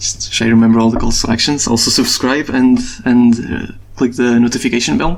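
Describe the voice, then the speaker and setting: Over noticeable background noise, a man with a non-native accent speaks fairly quickly at a medium pitch with fairly even intonation. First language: not English. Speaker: gaming stats youtuber. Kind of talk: video outro monologue. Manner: fast; halting, repeats words.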